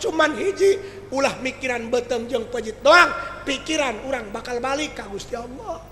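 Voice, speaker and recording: A man's raised, projected voice at an extremely high pitch, animated in tone with lively intonation and a West Javanese accent, amid audible room echo and noticeable background noise. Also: moderate pace. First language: Sundanese (speaking Indonesian). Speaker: Islamic preacher. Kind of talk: humorous sermon.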